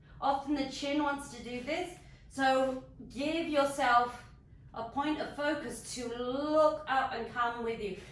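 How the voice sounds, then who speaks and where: A woman at a high pitch and a very slow pace, with fairly even intonation and audible room echo. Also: big swings in loudness. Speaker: yoga instructor. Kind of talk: guided exercise class.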